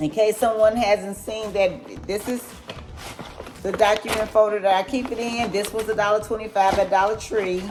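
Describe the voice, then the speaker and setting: A woman talks at a moderate pace with fairly even intonation and a fairly high pitch. Noticeable background noise sits behind her. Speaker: money vlogger. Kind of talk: casual tutorial vlog.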